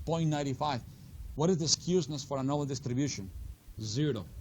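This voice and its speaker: This man's voice is somewhat breathy and fairly high in pitch. His intonation is lively. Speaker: finance instructor. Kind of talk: lecture.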